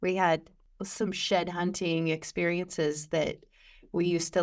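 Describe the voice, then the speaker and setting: A woman with a Midwestern American accent at a moderate pace, in a very clean recording against a silent background. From western Illinois. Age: 40s. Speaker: podcast host, extension educator. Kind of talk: casual interview.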